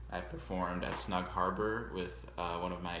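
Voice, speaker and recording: With an American accent and vocal fry, a man speaks at a moderate pace in a very deep, low pitch, with audible room echo around him. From US Northeast, Long Island, New York. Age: 20s. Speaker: music teacher. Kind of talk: self-introduction video to students. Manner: casual, with many fillers.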